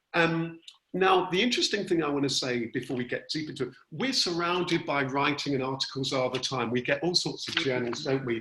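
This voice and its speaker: A fairly high-pitched man talking at a fairly quick pace, with noticeable background noise behind him. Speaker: workshop facilitator. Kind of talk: online workshop tutorial. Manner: chatty. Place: home room. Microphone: video call.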